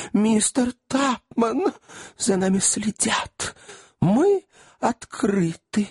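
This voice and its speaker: A put-on character voice with lively intonation, very slow pace and long, frequent pauses, in a dry, close sound with no echo. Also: man, high pitch for a man. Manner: exclaiming.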